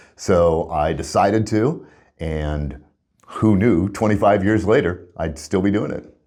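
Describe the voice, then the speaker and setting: With music in the background, a man with a fairly low pitch speaks at a fairly slow pace using lively intonation. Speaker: Public Address announcer for an ice hockey team; career radio guy. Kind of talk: interview answer, conversational storytelling.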